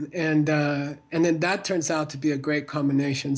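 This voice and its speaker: A man with an American accent speaks at a moderate pace in a fairly high voice against a quiet background. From United States. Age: 60s. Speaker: Buddhist teacher and author. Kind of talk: interview. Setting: video call. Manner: halting.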